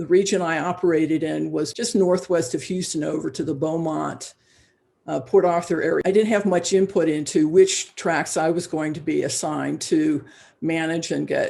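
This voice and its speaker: Using vocal fry and a dark, mellow tone, a woman with fairly low pitch speaks at a moderate pace with fairly even intonation. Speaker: forester. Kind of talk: interview answer. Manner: hesitant, many fillers.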